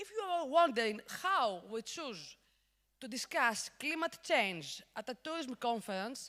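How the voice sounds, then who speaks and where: A woman with a Greek accent speaks at a fairly slow pace in a high, bright, sharp voice, her pitch swinging very widely and her loudness rising and falling a great deal. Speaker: conference host. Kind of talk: conference interview.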